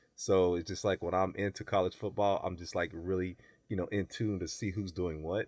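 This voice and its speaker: A man with an American accent and a very deep, low voice speaks at a fairly quick pace in monotone, flat intonation on a very clean recording with a silent background. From US South. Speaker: bodybuilder and personal trainer. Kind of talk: casual chat.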